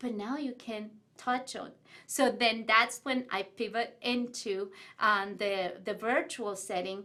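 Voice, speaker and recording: Speaking very slowly with an Ecuadorian accent, a woman uses a fairly high pitch and a bright, sharp tone. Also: ordinary pitch variation. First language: Spanish. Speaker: business owner and author. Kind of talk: interview. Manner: animated.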